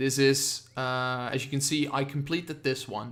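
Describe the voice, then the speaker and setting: A man with a Dutch accent at a fairly high pitch, fairly even intonation and a fairly slow pace. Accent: Dutch accent, noticeable. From Netherlands. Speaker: gaming streamer. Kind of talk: live game reaction stream. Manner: halting, many fillers.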